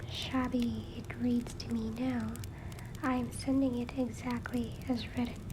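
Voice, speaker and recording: Against noticeable background noise, a woman talks fairly slowly. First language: not English. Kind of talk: first-person reading of a letter paraphrased in modern spoken language. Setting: home recording with fireplace sound in background.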